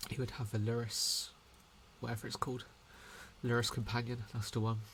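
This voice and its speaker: Here a man speaks quietly. His delivery is fairly quick and flat, in a monotone. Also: medium pitch for a man. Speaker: gaming content creator. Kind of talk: gameplay commentary. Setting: at home late at night. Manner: speaking quietly; hesitant with fillers.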